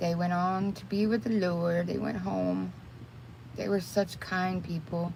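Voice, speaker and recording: The room echo is audible as a woman speaks at a fairly slow pace. Noticeable background noise runs under her voice. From Texas. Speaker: crochet and makeup livestreamer. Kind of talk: casual livestream chat. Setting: livestream while doing makeup.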